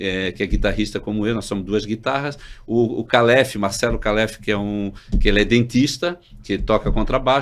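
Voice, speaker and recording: Over a silent background in a very clean recording, a man talks at a fairly quick pace with an unremarkable speaking voice and fairly low pitch. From Santa Catarina coast, Brazil (Itajaí). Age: 60s. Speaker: doctor and health cooperative executive. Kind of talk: casual chat.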